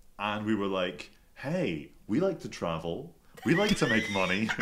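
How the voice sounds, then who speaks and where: A man with a Scottish accent at a fairly low pitch, lively intonation and a moderate pace, with audible room echo. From Scotland, Glasgow. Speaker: podcast guest. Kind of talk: casual chat. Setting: studio.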